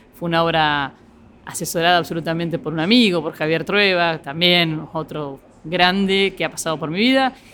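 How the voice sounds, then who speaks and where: Speaking at a moderate pace, a woman with an Argentine accent has a fairly low pitch. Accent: Rioplatense Argentine Spanish. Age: 50s. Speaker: nightclub and restaurant entrepreneur. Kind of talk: interview. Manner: halting.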